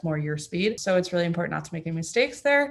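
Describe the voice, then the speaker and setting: Talking at a very fast pace, a woman speaks with a Florida accent. Her pitch is fairly low. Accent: American, Florida. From Florida, US (born in Germany, moved at six). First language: German. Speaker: track cyclist. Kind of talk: interview. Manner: casual, lots of fillers.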